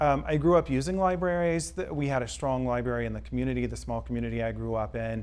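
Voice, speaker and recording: A man speaks at a very fast pace with hardly any pauses. Audible room echo surrounds his voice. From Mississippi (near Hattiesburg, Columbia). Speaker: college English professor and library board chair. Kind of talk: interview. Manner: frequent hesitations (um).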